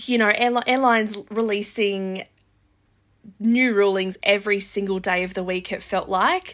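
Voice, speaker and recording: Fairly even intonation from a woman with an Australian accent. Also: medium pitch for a woman, moderate pace. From Australia, far north coast New South Wales. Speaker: podcast host and travel agent. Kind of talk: solo podcast monologue.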